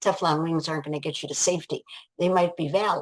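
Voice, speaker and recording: With an American accent, a woman speaks very fast in a very deep, low pitch. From Ohio, USA. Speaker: life coach and author. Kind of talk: interview answer. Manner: enthusiastic.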